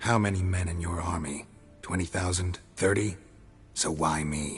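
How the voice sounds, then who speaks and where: Put-on character voice from a man, very deep and low in pitch, over clear background noise. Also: moderate pace. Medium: video game. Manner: dry, laconic.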